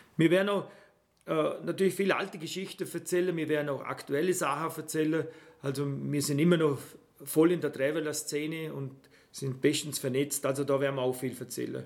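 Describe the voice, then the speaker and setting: Delivered at a fairly quick clip, the speech holds a fairly even intonation. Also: man, fairly high pitch for a man. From Austria, Vorarlberg (Bregenz area). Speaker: travel podcast host. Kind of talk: casual chat.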